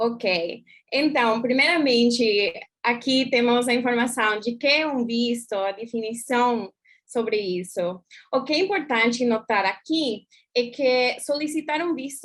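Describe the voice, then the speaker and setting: In an English accent, a woman speaks fairly slowly with a high pitch and ordinary pitch variation. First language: English (speaking Portuguese). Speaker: consular official. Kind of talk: presentation.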